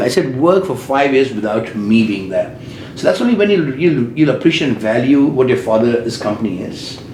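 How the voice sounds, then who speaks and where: A man at medium pitch with an Indian accent and lively intonation, plus noticeable background noise and audible room echo. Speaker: business owner. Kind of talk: interview. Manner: loud.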